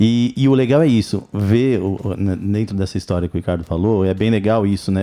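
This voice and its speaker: His tone dark and mellow, a man speaks at a fairly low pitch with fairly even intonation. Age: 50s. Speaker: podcast co-host. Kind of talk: casual chat.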